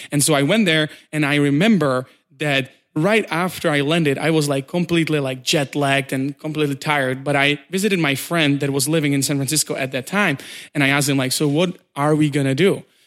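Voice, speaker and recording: Recorded very cleanly against a silent background, a man with a Czech accent speaks at a fairly quick pace and fairly high pitch, with fairly even intonation. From Czech Republic. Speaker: startup community director. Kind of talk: interview. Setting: in person.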